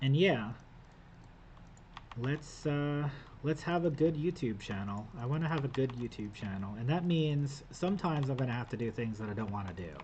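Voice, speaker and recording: Somewhat breathy, a man speaks at a moderate pace in a medium pitch. His intonation is lively. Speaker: gaming youtuber / vlogger. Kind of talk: casual vlog talking to camera. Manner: hesitant, stuttering with filler words.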